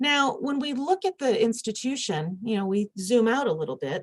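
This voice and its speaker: A woman talks at a fairly quick clip with a Michigan accent. Her voice is somewhat breathy, and her pitch swings very widely. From US Midwest, Michigan. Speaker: conference speaker, university administrator. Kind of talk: conference presentation.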